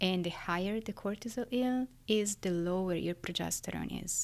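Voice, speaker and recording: A woman with an Italian accent speaks at a moderate pace and medium pitch, with ordinary pitch variation, on a very clean recording with a silent background. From Italy, Florence. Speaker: neuroscientist. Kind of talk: interview.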